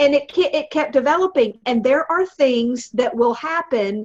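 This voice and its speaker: A woman with a Southern US accent speaks in an animated tone at a moderate pace. Her high pitch moves through very wide swings. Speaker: motivational speaker and comedian. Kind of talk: casual chat.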